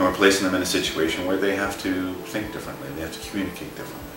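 Speaking at a very fast pace, a man has a very deep, low pitch. Audible room echo and noticeable background noise are present. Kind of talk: explanatory presentation to camera. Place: home room.

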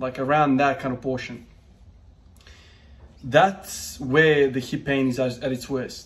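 The man's intonation is monotone and flat. He keeps a moderate pace. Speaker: strength training vlogger. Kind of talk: casual vlog chat. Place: gym. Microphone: phone near.

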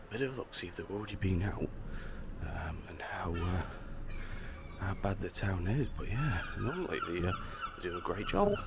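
Over loud background noise, a man talks at a moderate pace with ordinary pitch variation. The sound is dry with no echo, and he leaves long, frequent pauses. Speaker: walking vlogger. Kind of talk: casual vlog chat. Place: street. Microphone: lapel.

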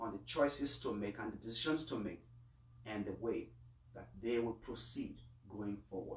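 Some room echo surrounds a man speaking at a moderate pace with vocal fry. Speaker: priest. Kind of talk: Mass homily and prayers of the faithful. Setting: online livestream of Mass. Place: home room. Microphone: camera far.

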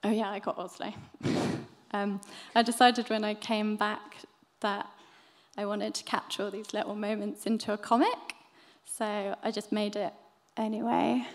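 A woman at a moderate pace, fairly even intonation, long and frequent pauses. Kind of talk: presentation talk. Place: hall. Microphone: podium.

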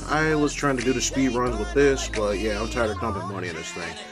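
The talking is fairly quick in pace. Music is clearly audible in the background. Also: man. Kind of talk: casual vlog chat. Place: home room. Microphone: phone near.

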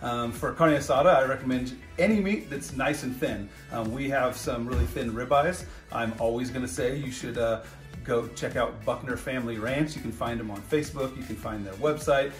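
A man speaks with ordinary pitch variation while faint music plays in the background. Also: moderate pace. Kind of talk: casual cooking tutorial. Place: kitchen. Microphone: phone near.

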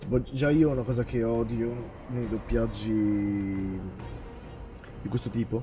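Music plays behind a man speaking at a fairly slow pace. He leaves long, frequent pauses. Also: medium pitch for a man, fairly even intonation. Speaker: gaming streamer. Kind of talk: live game stream commentary.

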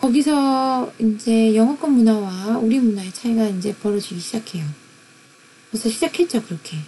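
A somewhat breathy voice with lively intonation. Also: woman, fairly high pitch for a woman, moderate pace. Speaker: university lecturer. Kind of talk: lecture.

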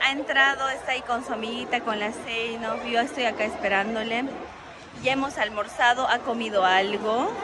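A woman at a moderate pace with ordinary pitch variation, music in the background. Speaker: family vlogger. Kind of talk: casual vlog chat. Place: shop. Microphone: phone near.

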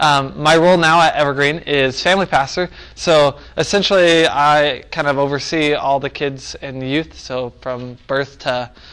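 A man speaks at a moderate pace with fairly even intonation and hardly any pauses. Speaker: family pastor teaching a workshop. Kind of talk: workshop talk. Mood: relaxed, self-deprecating. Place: church.

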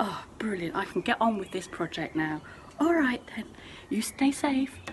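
Noticeable noise fills the background. The voice belongs to a woman. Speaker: outdoor education tutor. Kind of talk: playful acted phone chat. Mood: cheerful, playful. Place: garden. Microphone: phone near.

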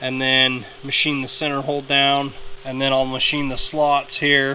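A man speaks with monotone, flat intonation. Light background noise runs underneath. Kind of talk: tutorial. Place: workshop. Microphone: phone near.

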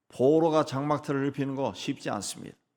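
A man with a normal speaking voice, fairly high pitch, at a moderate pace. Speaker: pastor. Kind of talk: sermon.

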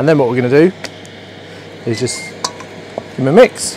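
A man speaks over music in the background. The sound is dry with no echo. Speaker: presenter. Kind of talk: cooking tutorial. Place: garden.

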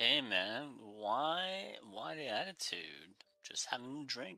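Using a put-on character voice, a man talks at a very slow pace. His pitch sits in the medium range. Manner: easygoing, mellow, calling others man and friend.

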